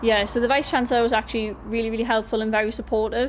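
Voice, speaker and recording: A woman with a Geordie accent, fairly high in pitch, with monotone, flat intonation. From North East England, Gateshead. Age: 20s. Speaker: university student. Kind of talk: news interview. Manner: hesitant, many fillers.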